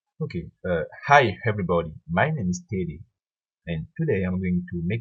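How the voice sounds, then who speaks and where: A somewhat breathy man's voice, very deep and low, at a moderate pace with ordinary pitch variation. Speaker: software tutorial creator. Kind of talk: tutorial. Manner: halting, with hesitations.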